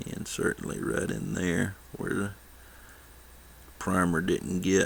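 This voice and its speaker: With vocal fry and lively intonation, a man talks at a very deep, low pitch. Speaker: miniature painting tutor. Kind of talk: tutorial. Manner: fast; casual.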